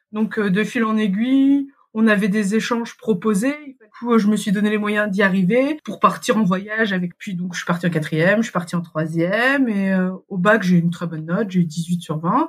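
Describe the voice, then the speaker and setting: At a moderate pace and with hardly any pauses, a woman speaks at medium pitch with ordinary pitch variation in an unremarkable speaking voice. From Paris region, France. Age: 30s. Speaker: mother living abroad. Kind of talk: interview. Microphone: poor sound quality at times.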